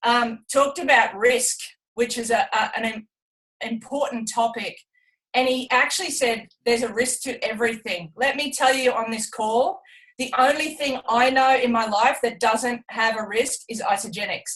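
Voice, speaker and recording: At a moderate pace, a woman with an Australian accent speaks in a high pitch with ordinary pitch variation. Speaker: retired Olympic athlete. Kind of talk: testimony on a team business call.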